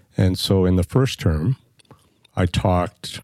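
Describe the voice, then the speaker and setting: Recorded with a dry, close sound and no echo, a man speaks with a very deep, low pitch and a dark, mellow tone. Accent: Canadian. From Canadian Prairies (northern Manitoba, raised in Edmonton). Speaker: podcast co-host, former city councillor and journalist. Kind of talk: casual chat.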